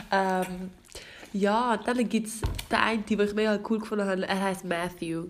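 A woman talks fairly slowly, her intonation monotone and flat. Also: medium pitch for a woman. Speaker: podcast host. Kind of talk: casual chat.

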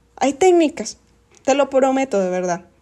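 A woman talks at a fairly quick pace. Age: 20s. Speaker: podcast host. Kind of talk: casual monologue. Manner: animated.

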